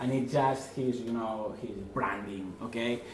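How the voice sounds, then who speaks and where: With a strong Spanish accent, a man of medium pitch talks at a fairly slow pace amid audible room echo and noticeable background noise. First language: Spanish or Catalan. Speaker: online marketing consultant. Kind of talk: presentation. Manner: halting, many fillers.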